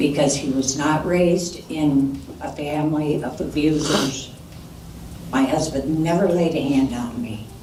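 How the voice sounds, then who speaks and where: A woman with a very deep, low pitch speaks fairly slowly with fairly even intonation. Noticeable background noise and audible room echo surround her voice. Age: 70s. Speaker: defendant's mother. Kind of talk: court statement, pleading. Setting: courtroom.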